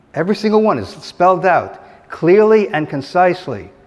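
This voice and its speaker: A high-pitched male voice at a fairly quick pace, with audible room echo. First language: not English. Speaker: economics lecturer. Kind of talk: lecture. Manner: halting, with false starts.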